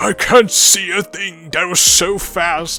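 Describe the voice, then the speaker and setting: A man's high, put-on character voice at a fairly slow pace, with clear music in the background. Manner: loud, bragging.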